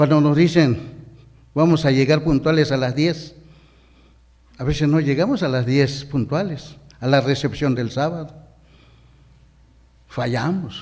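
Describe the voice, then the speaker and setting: With a Chiapas accent, a man at a fairly high pitch talks fairly slowly with fairly even intonation and long, frequent pauses, and the room echo is audible. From Mexico, Chiapas highlands. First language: Ch'ol (speaking Spanish). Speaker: deacon preacher. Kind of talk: sermon.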